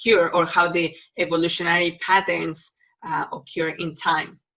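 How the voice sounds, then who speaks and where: A woman with a Mexican accent, fairly low pitch and a bright, sharp tone, at a moderate pace. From Mexico. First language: Spanish. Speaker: university biology lecturer. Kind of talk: recorded lecture. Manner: hesitant, many fillers.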